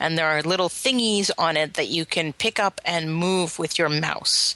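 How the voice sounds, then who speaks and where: Her voice is fairly low in pitch, with a bright, sharp tone and lively intonation. The woman is heard in a dry, close sound with no echo. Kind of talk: casual chat.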